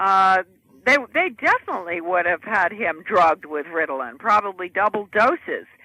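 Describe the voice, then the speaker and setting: A woman with an American accent speaks at a moderate pace and medium pitch, her intonation lively and her tone bright and sharp, in a dry, close recording with no echo. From United States. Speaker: author and former education policy advisor. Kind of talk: interview answer.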